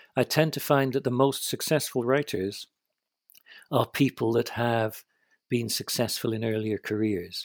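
On a very clean recording with a silent background and dry, close sound without echo, a man with a British accent talks fairly slowly at a medium pitch with ordinary pitch variation. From Britain. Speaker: novelist. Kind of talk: casual chat.

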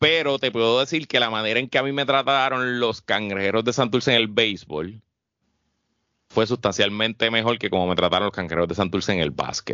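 A man speaks at a fairly quick pace in an ordinary speaking voice. His pitch is medium with ordinary variation, and his loudness stays very even. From Puerto Rico, Guaynabo. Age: 30s. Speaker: podcast co-host. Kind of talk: casual chat.

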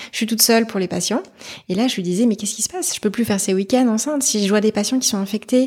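With a somewhat breathy, fairly high voice, a woman talks at a very fast pace. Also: ordinary pitch variation. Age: 30s. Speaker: mother sharing her story. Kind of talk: personal testimony interview.

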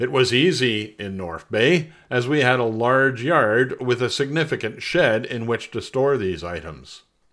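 In a very clean recording with a silent background, a plain, everyday voice with a Canadian accent moves at a fairly slow pace with lively intonation. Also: man. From Montreal, Quebec. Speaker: personal essayist. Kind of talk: reading aloud.

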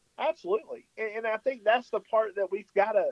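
A man with a high pitch and a rural Southern US accent. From rural US South, Tennessee. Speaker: worship pastor. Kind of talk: religious discussion on radio. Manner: halting, many fillers and repeats.

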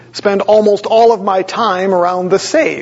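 Noticeable background noise sits behind this recording. A man with an American accent speaks at a high pitch. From Wisconsin, US Midwest. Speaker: pastor. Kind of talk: sermon.

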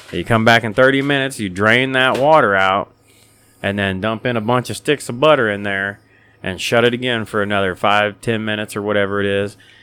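This man has a normal speaking voice with a fairly low pitch. He speaks at a moderate pace with ordinary pitch variation. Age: 30s. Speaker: podcast host. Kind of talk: casual chat. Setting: studio.

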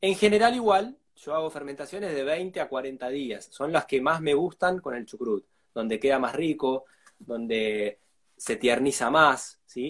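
With an Argentine accent, a man speaks at a fairly high pitch and a fairly slow pace. His intonation is lively. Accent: Argentine Spanish (rioplatense voseo). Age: 40s. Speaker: food producer and fermentation educator. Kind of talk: live interview.

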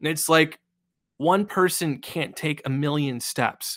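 On a very clean recording with a silent background, a man talks at a very slow pace with a fairly high pitch and ordinary pitch variation. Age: 20s. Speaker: conservation podcast host. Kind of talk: casual chat.

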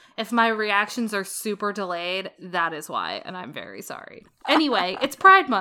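A woman speaks with a bright, sharp tone. Her pace is moderate. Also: medium pitch for a woman, ordinary pitch variation, big swings in loudness. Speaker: podcast co-host. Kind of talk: casual chat. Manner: punchy, delayed reactions.

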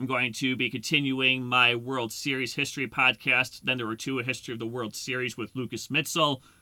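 A man talks at a fairly quick pace with hardly any pauses, in a medium-pitched, bright, sharp voice with monotone, flat intonation. The recording is very clean, with a silent background. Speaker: podcast host. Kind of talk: solo podcast monologue.

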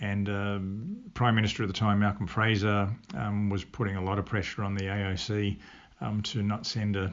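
Fairly low in pitch, a man talks in an Australian accent. His pace is moderate and his intonation fairly even. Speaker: retired Olympic decathlete. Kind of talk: interview. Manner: halting.

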